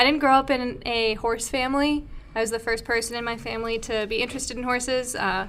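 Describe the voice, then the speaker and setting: A woman with a slight Minnesota accent speaks at a very fast pace. Her pitch is high, and her intonation is monotone and flat. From Minnesota, near the Twin Cities. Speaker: podcast co-host, horse equipment company account manager. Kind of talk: casual chat. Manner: relaxed, with frequent fillers.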